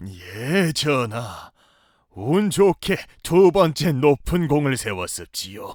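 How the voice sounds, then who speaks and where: A put-on character voice, raspy, moves at a very slow pace. Its pitch swings very widely. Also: man, fairly high pitch for a man. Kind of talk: historical court speech. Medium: audio drama. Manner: deferential, smooth.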